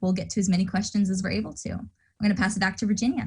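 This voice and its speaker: A woman speaks at a very fast pace with vocal fry. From Indiana, US Midwest. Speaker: student orientation leader. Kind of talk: online orientation presentation.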